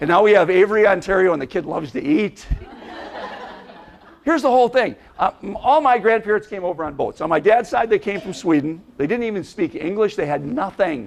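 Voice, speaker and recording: Over noticeable background noise, a man with an Upper Midwest accent talks at a fairly quick pace in an animated tone, his pitch high for a man and his intonation lively. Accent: Upper Midwest American. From Minnesota, Minneapolis. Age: 60s. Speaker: motivational speaker. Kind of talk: keynote speech to an audience. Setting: stage with audience.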